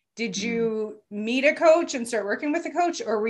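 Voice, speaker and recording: Using a plain, everyday voice, a woman speaks at a moderate pace in a fairly high pitch with lively intonation. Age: 40s. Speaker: podcast host and life coach. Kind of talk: interview.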